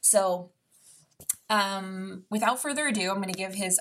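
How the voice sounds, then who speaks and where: A woman's medium-pitched, somewhat breathy voice at a moderate pace, in a very clean recording with a silent background. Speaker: podcast host and fitness trainer. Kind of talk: casual interview conversation.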